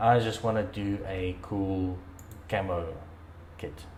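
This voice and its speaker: A man with a non-native accent speaks in a somewhat breathy voice, with audible echo from the room. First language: not English. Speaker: dirt bike hobbyist vlogger. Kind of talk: tutorial. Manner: hesitant, many fillers and repeats.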